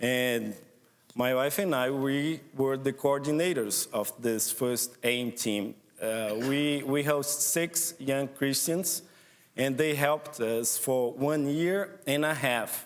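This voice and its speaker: Speaking very slowly with a Portuguese accent, a man keeps a fairly high pitch, ordinary pitch variation and very even loudness. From northeast Brazil. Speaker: missionary program director. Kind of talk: church presentation. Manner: halting.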